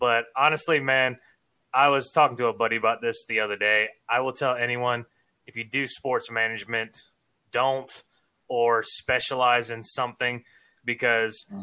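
A man with an American accent speaks at a medium pitch and a moderate pace. His tone is bright and sharp, and his intonation is monotone and flat. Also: very clean recording, silent background. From Savannah, Georgia, US South. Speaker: sports podcaster and former athlete. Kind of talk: casual interview chat. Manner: talkative, sportscaster-style delivery.

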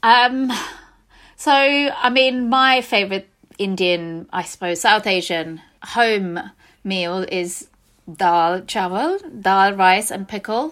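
A woman speaks at a medium pitch with lively intonation, going very slowly and leaving long, frequent pauses. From India, Mumbai. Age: 40s. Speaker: food business founder. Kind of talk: interview.

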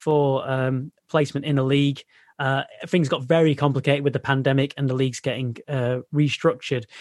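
A man with a Mancunian accent speaks at a moderate pace, his pitch fairly high. The sound is dry and close, with no echo. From North Manchester, England. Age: 30s. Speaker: sports journalist, former science teacher. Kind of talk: interview.

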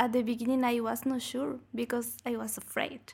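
Here a woman with a Spanish accent speaks at a high pitch. Her pace is fairly slow and her intonation fairly even. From Bolivia. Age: 20s. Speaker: master's student. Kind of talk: interview. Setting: studio.

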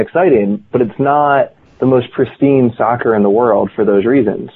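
This man, speaking with a General American accent, has a medium pitch. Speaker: former pro soccer player and author. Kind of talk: casual interview chat. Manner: animated, conversational.

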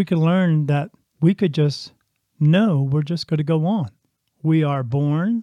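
The man's fairly high voice has a dark, mellow tone and ordinary pitch variation, moving at a very slow pace with a dry, close sound and no echo. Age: 50s. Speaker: podcast host, spiritual medium. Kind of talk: monologue partly read from a script.

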